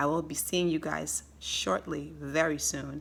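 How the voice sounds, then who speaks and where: A woman speaks in an animated tone with vocal fry and a bright, sharp sound, recorded very cleanly against a silent background. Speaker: health educator. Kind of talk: health tutorial. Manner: fast.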